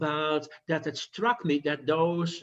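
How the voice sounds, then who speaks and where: At a fairly slow pace, a man with a slight Dutch accent speaks in a fairly high pitch. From Netherlands. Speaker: physician. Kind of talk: lecture. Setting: video call. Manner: halting, with fillers.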